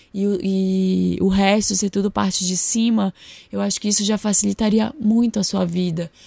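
Quiet and somewhat breathy, a woman with a medium pitch speaks at a moderate pace in a monotone, flat way. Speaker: podcast host and style consultant. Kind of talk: solo podcast monologue. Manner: getting quieter as voice fades.

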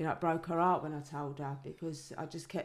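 In a very clean recording with a silent background, a woman speaks in a very deep, low pitch with vocal fry and flat, monotone intonation. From East London (East End). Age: 40s. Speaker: author, daughter of a famous hard man. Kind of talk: interview, personal testimony.

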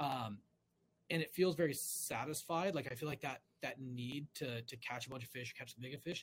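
With an American accent, a man speaks at a fairly quick pace in a fairly high pitch, somewhat breathy, with ordinary pitch variation. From California. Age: 40s. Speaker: fly-fisherman and hunter. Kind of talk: casual chat.

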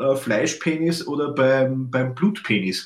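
A man speaks with an Austrian accent. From Austria, Lower Austria (Melk). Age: 30s. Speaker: photographer, podcast co-host. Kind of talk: casual chat. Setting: video call from his photo studio.

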